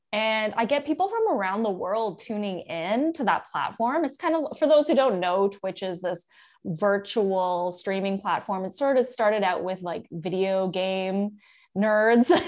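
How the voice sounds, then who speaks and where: Against a quiet background, a woman with a normal speaking voice and a medium pitch speaks at a fairly slow pace with lively intonation. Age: 30s. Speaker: chef and cooking instructor. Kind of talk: casual interview chat.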